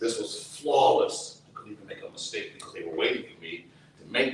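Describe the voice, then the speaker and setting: Someone talks at a fairly quick pace amid audible room echo and noticeable background noise. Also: man. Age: 60s. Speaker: activist, brother of a prisoner. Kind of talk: testimony. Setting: outdoors.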